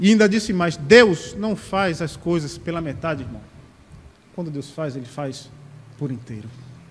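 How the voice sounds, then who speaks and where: With audible room echo, a man whose pitch is fairly high for a man speaks with long, frequent pauses. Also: lively intonation, moderate pace. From Sapé, Paraíba, Brazil. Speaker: deacon preacher. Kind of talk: sermon.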